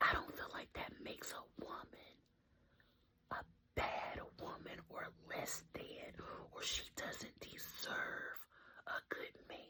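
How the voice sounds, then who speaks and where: Whispering woman at a very slow pace, with long, frequent pauses. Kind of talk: casual whispered ramble to camera. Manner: whispered.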